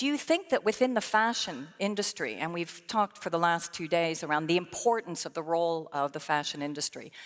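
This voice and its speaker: In an American accent, a woman with an unremarkable speaking voice talks at a fairly quick pace with lively intonation. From Belgium (French-speaking). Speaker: panel moderator, sustainability leader. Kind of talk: panel discussion.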